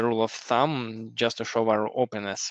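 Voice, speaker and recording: A man's medium-pitched, monotone voice with flat intonation, dry and close with no echo. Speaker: software engineer and teacher. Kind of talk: interview. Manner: halting, many fillers.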